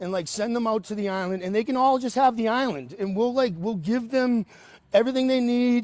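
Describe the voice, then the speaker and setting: Animated in tone, a man with an American accent speaks at an extremely high pitch. His pace is fairly quick. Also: ordinary pitch variation. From New England (Boston). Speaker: caller on live political stream. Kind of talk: casual chat.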